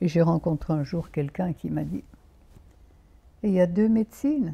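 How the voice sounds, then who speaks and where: A woman speaks at a fairly slow pace with long, frequent pauses, a dark, mellow and somewhat breathy tone, lively intonation, and big swings in loudness. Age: 90s. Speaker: naturopath. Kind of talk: interview. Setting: outdoors.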